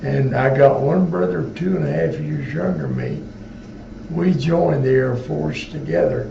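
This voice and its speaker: With noticeable background noise and audible room echo, a man at medium pitch speaks at a moderate pace with very wide pitch swings. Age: 80s+. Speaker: war veteran. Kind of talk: interview. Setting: veterans home.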